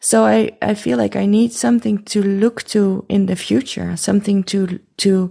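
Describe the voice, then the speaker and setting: A woman talks in an ordinary speaking voice at a medium pitch, with ordinary pitch variation. The recording is very clean and the background silent. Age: 40s. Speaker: haptotherapist. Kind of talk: interview conversation.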